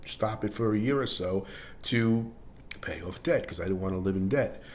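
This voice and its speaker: A man talks at a moderate pace with lively intonation and a fairly low pitch. There is audible room echo. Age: 60s. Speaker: personal finance vlogger, laid-off office worker. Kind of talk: personal testimony monologue. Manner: halting, with fillers and false starts; casual, conversational.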